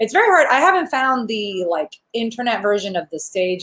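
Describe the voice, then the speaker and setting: Over noticeable background noise, a woman with an American accent sounds animated, fairly high in pitch, with lively intonation and a fairly quick pace. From New York City, Queens. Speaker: panel moderator. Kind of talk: casual chat.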